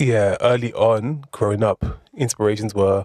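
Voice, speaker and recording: In a dry, close sound with no echo, a man with a London accent speaks in a fairly low pitch. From South East London (Erith). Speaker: rapper. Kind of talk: casual podcast interview. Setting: studio.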